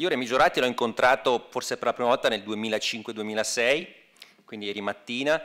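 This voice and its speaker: Against a quiet background, a man's bright, sharp tone holds fairly even intonation. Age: 50s. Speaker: academic, former historian; speaker. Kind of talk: speech. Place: hall. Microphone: podium.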